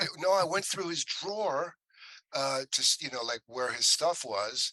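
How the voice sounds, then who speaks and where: Speaking at a moderate pace with an American accent, a high-pitched man uses lively intonation in a dry, close sound with no echo. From Ohio, Willoughby near Cleveland. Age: 60s. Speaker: actor. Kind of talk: casual interview.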